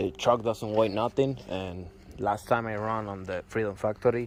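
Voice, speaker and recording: Here a man speaks with a Puerto Rican accent at a fairly low pitch. His pace is moderate and his intonation fairly even. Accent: Puerto Rican Spanish accent, noticeable. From Puerto Rico. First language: Spanish. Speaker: truck owner showing his car build. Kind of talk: vehicle walkaround tutorial. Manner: halting, with fillers and repeats.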